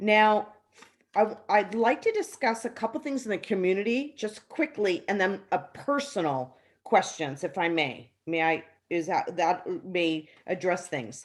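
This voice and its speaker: Her voice medium in pitch, a woman speaks at a fairly slow pace with very wide pitch swings. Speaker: resident caller at town hall. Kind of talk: public meeting question.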